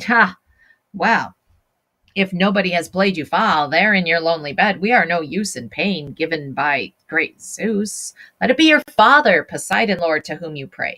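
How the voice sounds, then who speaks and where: A woman puts on a character voice at a fairly low pitch. She talks at a moderate pace. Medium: read story.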